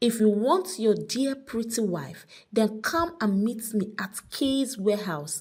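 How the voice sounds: A natural reading voice carries ordinary shifts in pitch.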